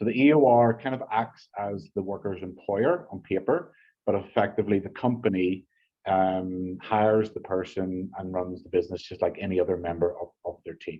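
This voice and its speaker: A man's fairly low-pitched voice in an Irish accent, with ordinary pitch variation, a moderate pace and big swings in loudness. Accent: Irish, still noticeable after 14 years in US. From Ireland. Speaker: business partnerships manager. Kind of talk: business presentation. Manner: halting, many repetitions and fillers.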